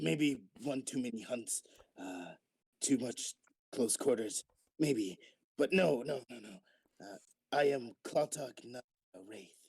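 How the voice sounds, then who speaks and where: A man in a put-on character voice, raspy and at a medium pitch, talks at a fairly slow pace with long, frequent pauses. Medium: actual play. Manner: blunt, earnest.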